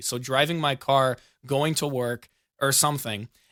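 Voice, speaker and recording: Heard on a very clean recording with a silent background, a man speaks with an American accent and a bright, sharp tone. His pitch is fairly high, and his pitch variation is ordinary. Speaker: podcast host. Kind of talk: casual chat.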